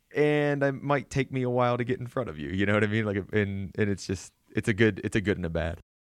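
This man talks at a very fast pace with hardly any pauses. His intonation is lively, with a Pennsylvania accent. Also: fairly low pitch for a man. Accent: regional Pennsylvania. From southwestern Pennsylvania. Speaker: podcast host. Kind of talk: interview chat.

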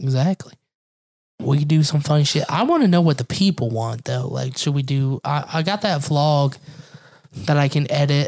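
Somewhat breathy, a man speaks at a fairly high pitch and a moderate pace, with ordinary pitch variation. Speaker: podcast host. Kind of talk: casual chat.

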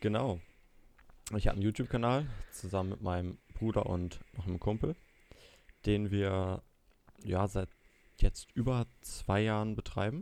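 Speaking at a moderate pace in a fairly low pitch, a man uses ordinary pitch variation and takes long, frequent pauses. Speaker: student and YouTuber. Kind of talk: casual chat.

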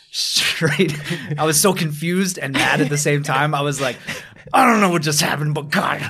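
A man with an American accent talks at a moderate pace in a fairly high pitch. The recording has audible room echo and noticeable background noise. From upstate New York. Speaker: mixed martial arts fighter. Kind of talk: casual interview. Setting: gym mats.

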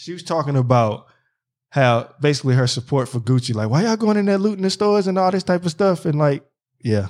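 Very fast, animated speech from a man with a Philadelphia accent, fairly high in pitch with very wide pitch swings, on a very clean recording with a silent background. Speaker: podcast host. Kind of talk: casual chat. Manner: animated, talks over co-host.

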